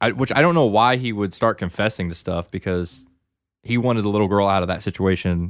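Using an ordinary speaking voice, a man with a fairly low pitch talks at a fairly quick pace. Pitch variation is ordinary, and the recording is very clean with a silent background. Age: 20s. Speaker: movie podcast co-host. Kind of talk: casual chat.

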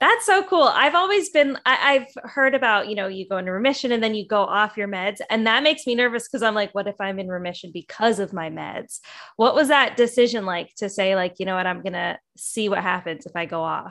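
With an unremarkable speaking voice, a woman talks at a fairly quick pace with hardly any pauses, her fairly high pitch carried by lively intonation. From western Canada. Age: 30s. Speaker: podcast host. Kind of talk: casual interview.

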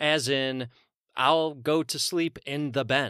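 A man speaks with a bright, sharp tone. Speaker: podcast host.

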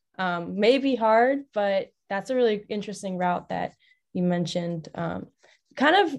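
This woman has an ordinary speaking voice at a medium pitch and talks at a moderate pace. The background is quiet. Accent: American. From Long Island, New York. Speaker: student podcast co-host. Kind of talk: casual chat.

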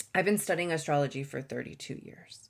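She has a female voice. The rise and fall of her pitch is ordinary. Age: 40s. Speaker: astrologer and podcast host. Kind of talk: solo podcast monologue. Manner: halting, with many fillers.

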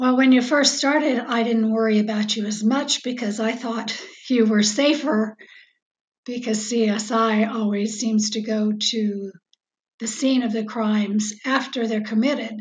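A woman with an American accent speaks at a fairly slow pace. Her voice is fairly high-pitched and somewhat breathy. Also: fairly even intonation. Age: 70s. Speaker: host's mother. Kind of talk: casual interview chat.

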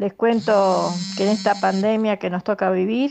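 At a fairly slow pace, a woman speaks in a plain, everyday voice at a medium pitch, over a quiet background. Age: 60s. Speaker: artisan. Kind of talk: recorded testimony.

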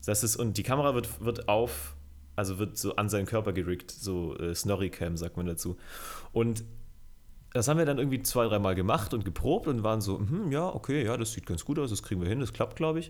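Fairly quick and lively in intonation, a man speaks in a plain, everyday voice. His pitch is fairly low. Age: 20s. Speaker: music video director. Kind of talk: casual chat.

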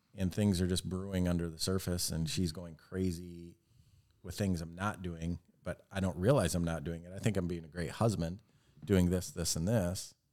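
A man with an American accent speaks in a very deep, low pitch with a dark, mellow tone and fairly even intonation. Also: moderate pace. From Michigan (Fowlerville). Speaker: married guest. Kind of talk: casual chat.

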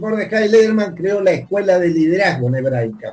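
This man speaks with a high-pitched voice. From Argentina, Santa Fe. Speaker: former community club leader. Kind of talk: interview reminiscence.

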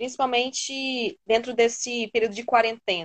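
A woman's high-pitched voice at a fairly slow pace. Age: 20s. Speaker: psychologist. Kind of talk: casual chat.

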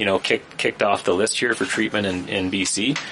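Over noticeable background noise, a man with a Canadian accent talks at a fairly quick pace in a fairly low pitch. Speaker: political panelist, self-employed. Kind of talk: casual panel discussion.

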